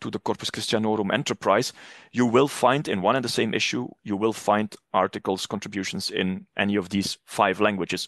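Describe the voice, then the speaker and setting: A man with a Flemish accent, fairly low pitch and moderate pace, against a quiet background. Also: dry, close sound with no echo. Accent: Flemish Dutch accent in English. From Flanders, northern Belgium. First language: Dutch (Flemish). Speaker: academic publishing manager. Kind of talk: podcast interview. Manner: frequent hesitations and restarts.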